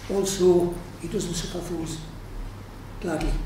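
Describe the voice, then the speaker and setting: A man talks in a monotone, flat delivery. Audible room echo and noticeable background noise surround him. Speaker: councillor. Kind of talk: formal nomination speech. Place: hall.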